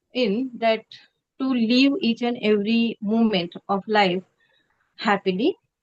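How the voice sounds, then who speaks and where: Speech in a Marathi accent comes at a very slow pace with fairly even intonation, sounding dry and close with no echo. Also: woman. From India, Maharashtra (Pune). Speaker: teacher. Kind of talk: casual chat. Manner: halting.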